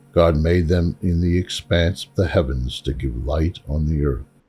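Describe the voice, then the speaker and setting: A man's very deep, low voice with an American accent, at a fairly slow pace over music in the background. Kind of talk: scripture reading.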